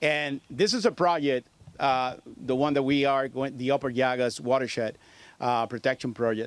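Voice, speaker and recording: Speaking in a Puerto Rican accent, a man at medium pitch keeps a moderate pace, very even loudness and fairly even intonation. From Puerto Rico. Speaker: federal agency state director. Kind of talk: press conference speech. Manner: halting.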